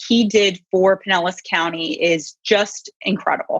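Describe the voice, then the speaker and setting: An ordinary speaking voice: a woman with an American accent, medium pitch and ordinary pitch variation, dry and close with no echo. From US, raised in America; born in Iran. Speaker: congressional candidate, lawyer. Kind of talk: campaign speech at virtual panel. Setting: virtual event, video call.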